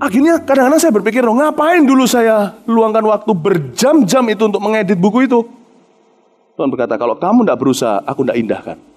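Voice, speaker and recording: Pitched high, a man speaks at a very fast pace in an animated tone, with very wide pitch swings. His loudness stays very even. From Indonesia. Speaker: pastor. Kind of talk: sermon.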